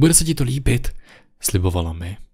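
A somewhat breathy man against a quiet background. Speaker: creepypasta narrator. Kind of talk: scripted ghost story narration, first-person creepy tale. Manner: hushed, slow, suspenseful, ominous. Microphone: studio mic.

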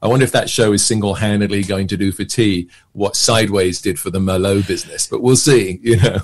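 With a southern English accent, a man talks at a very fast pace in a fairly low pitch. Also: fairly even intonation. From England, near London. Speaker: actor and magician; actor. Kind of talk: casual chat. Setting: podcast interview. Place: home room. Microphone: webcam.

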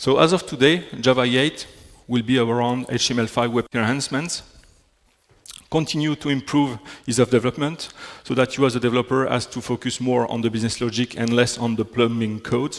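A man with a French accent talks at a moderate pace and medium pitch, his intonation fairly even. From Belgium. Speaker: software technology specialist. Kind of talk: technical conference talk. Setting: stage with audience. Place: hall.

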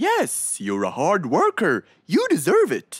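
In a cartoonish character voice, a woman speaks slowly at a fairly low pitch with a slightly husky edge and very wide pitch swings, on a very clean recording with a silent background.

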